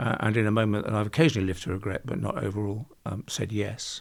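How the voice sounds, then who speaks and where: At a very fast pace, a man talks in a medium pitch with vocal fry. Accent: British. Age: 70s. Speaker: construction industry expert. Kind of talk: interview. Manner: halting.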